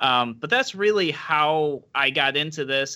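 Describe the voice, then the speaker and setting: A man with a Western New York accent speaks in a bright, sharp tone. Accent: Western New York American. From Rochester, Western New York, US. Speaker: libertarian political candidate. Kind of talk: interview. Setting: video call.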